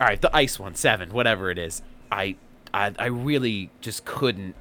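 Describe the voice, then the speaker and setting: A man speaks in an unremarkable speaking voice at a moderate pace. His pitch varies in an ordinary way. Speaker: podcast host. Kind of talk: casual chat.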